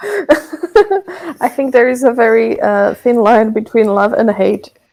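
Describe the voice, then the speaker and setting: A woman speaks with a Slovak accent at a very slow pace. Her high voice moves in very wide pitch swings. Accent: Slovak accent when speaking English. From Slovakia. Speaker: songwriter. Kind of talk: casual interview chat.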